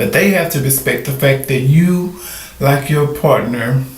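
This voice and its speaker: A man speaks at a moderate pace with a fairly high pitch and ordinary pitch variation. Audible room echo and noticeable background noise fill the recording. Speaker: vlogger. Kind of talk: casual monologue. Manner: animated.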